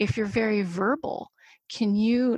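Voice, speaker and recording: A woman's fairly high, somewhat breathy voice at a moderate pace, fairly even in intonation, with a dry, close sound and no echo. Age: 30s. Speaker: adult learning and mindfulness educator. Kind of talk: casual chat.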